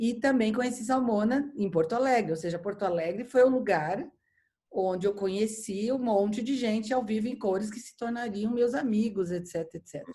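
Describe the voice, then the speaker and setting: A woman with a São Paulo accent speaks at a moderate pace with ordinary pitch variation. Her voice is somewhat breathy, with big swings in loudness. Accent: paulista. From São Paulo, Brazil. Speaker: architecture critic and editor. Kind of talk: casual chat. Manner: halting with repeated false starts.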